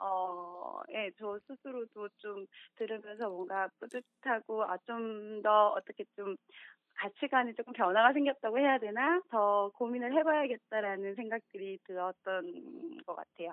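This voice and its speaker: A woman with a plain, everyday voice speaks at a fairly slow pace and a fairly high pitch. Her intonation is lively and her loudness swings widely. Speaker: listener. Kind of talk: phone interview. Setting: phone call. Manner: soft-spoken.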